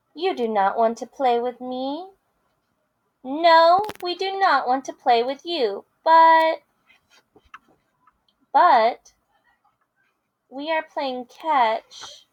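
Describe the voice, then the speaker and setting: Using a put-on character voice, a woman speaks in a high pitch. Her pace is very slow, with long, frequent pauses. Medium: read story.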